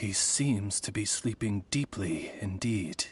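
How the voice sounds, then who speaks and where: A man puts on a character voice with a German accent as part of the act. His pitch is fairly low and his pace fairly slow. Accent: German touches. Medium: video game. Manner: polite, formal, measured.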